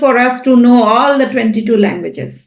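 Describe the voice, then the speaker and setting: In a Bengali accent, a woman with a high pitch speaks at a moderate pace, her voice carrying audible room echo. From India (Bengali). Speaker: writer and translator. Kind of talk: podcast interview. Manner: hesitant with fillers.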